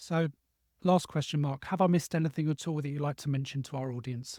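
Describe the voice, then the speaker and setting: A man speaks at a fairly quick pace with a fairly high pitch, a dark, mellow tone and a somewhat breathy quality, keeping his intonation fairly even. The recording is very clean with a silent background and a dry, close sound with no echo. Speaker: podcast host. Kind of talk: interview.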